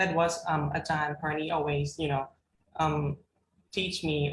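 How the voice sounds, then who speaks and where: Speaking in a flat monotone at a fairly slow pace, a woman with a Thai accent has a very deep, low, somewhat breathy voice. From Thailand. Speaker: graduate student panelist. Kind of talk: panel discussion. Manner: halting.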